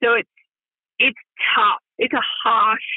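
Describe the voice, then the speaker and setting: The woman's voice sits fairly high. She has an Australian accent. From Perth, Western Australia. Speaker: radio presenter. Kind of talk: casual interview chat.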